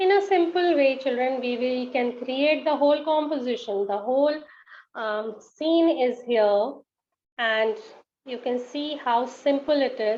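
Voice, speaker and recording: Speaking is a woman with a high pitch. Her pace is fairly slow. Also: ordinary pitch variation. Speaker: art teacher. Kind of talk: tutorial. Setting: live online session.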